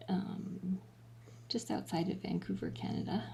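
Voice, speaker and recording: The voice is quiet. It moves at a fairly slow pace. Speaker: cat rescue live streamer. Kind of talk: live stream voiceover commentary. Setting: home, in another room during live stream. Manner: talking quietly.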